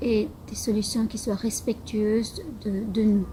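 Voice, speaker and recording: Speaking very slowly, a woman keeps a fairly high pitch in a monotone, flat delivery. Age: 50s. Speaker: local election candidate. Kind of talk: campaign statement. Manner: halting, with many hesitations.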